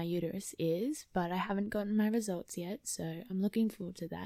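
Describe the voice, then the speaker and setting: A woman with an Australian accent, medium pitch and a dark, mellow tone, on a very clean recording with a silent background. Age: 20s. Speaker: podcast host. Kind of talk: personal testimony monologue. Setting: at home.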